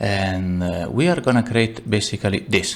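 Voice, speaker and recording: Spoken at a moderate pace with ordinary pitch variation, the voice has an Italian accent. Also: man. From Italy. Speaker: game developer and tutorial maker; tutorial maker. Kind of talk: tutorial. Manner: halting, many fillers and repeats; casual, animated. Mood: self-deprecating, relaxed.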